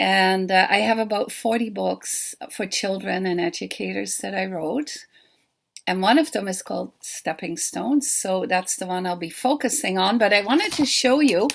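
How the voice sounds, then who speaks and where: Speaking with a Dutch accent at a moderate pace, the voice shows vocal fry and lively intonation in a very clean recording with a silent background. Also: woman, medium pitch for a woman. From Netherlands. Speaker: children's book author. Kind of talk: pre-recorded talk.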